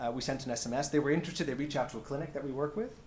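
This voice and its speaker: Somewhat breathy and fairly high-pitched, a man with an American accent speaks with audible room echo. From United States. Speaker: health tech company founder. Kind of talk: panel presentation. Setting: stage with audience. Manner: hesitant, many fillers.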